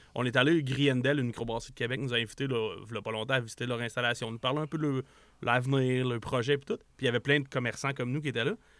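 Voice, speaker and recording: Speaking at a very fast pace, a man keeps a medium pitch with fairly even intonation. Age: 40s. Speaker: entrepreneur. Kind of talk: casual interview.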